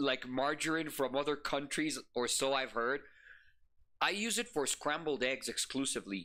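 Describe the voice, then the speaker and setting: A man with a Spanish accent and a bright, sharp tone, fairly high pitch, ordinary pitch variation and a moderate pace, in a very clean recording with a silent background. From Ecuador. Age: 30s. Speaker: VTuber streamer. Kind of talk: live reaction stream, casual chat. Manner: animated.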